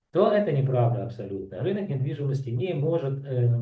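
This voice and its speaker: A man's voice comes through with audible room echo. He sounds somewhat breathy. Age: 60s. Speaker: real estate analyst. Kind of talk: market analysis commentary. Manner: halting, many filler sounds.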